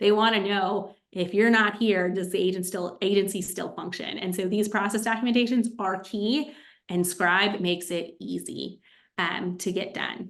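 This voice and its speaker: A woman with a medium-pitched voice speaks in fairly even intonation. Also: moderate pace. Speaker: agency consultant and AI tools presenter. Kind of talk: webinar presentation. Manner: many filler ums.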